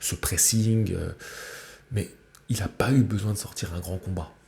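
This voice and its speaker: Soft-spoken and somewhat breathy, a man talks. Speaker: boxing YouTuber. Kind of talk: fight reaction commentary. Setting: at parents' home, early morning. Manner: halting.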